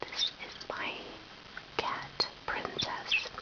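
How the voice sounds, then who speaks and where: Noticeable background noise fills the clip. The voice is a whisper. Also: woman. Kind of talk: casual talk to camera. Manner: whispered.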